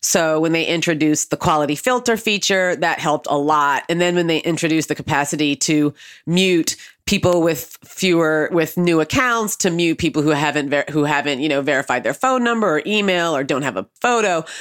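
In a very clean recording with a silent background, a woman with a very deep, low pitch talks at a fairly quick pace with lively intonation and very even loudness. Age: 40s. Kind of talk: interview conversation.

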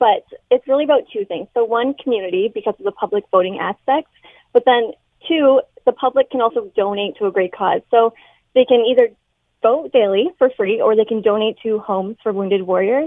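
Speaking with a Canadian accent at a fairly quick pace, a woman has an ordinary speaking voice, a fairly high pitch and ordinary pitch variation. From London, Ontario, Canada. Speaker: dietitian and fitness instructor. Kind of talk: radio interview.

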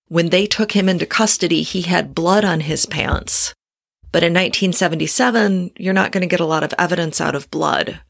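A woman with an American accent speaks in a fairly low voice with vocal fry. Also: fairly even intonation, moderate pace. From Detroit area, Michigan. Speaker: true crime podcaster. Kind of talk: casual interview.

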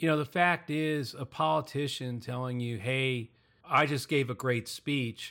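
This man has a normal speaking voice, with medium pitch and ordinary pitch variation. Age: 60s. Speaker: podcast host. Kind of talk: casual political podcast discussion.

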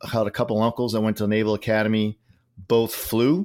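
In a Boston accent, a man talks at a fairly quick pace with monotone, flat intonation and medium pitch, on a very clean recording with a silent background. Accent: Boston New England. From Massachusetts, near Boston. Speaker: retired Navy captain. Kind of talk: casual interview.

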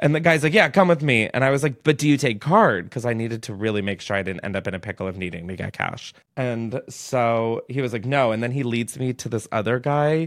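Very clean recording over a silent background of a man at medium pitch, fairly quick and with lively intonation. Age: 20s. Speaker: podcast host. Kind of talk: casual storytelling monologue. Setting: studio. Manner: animated.

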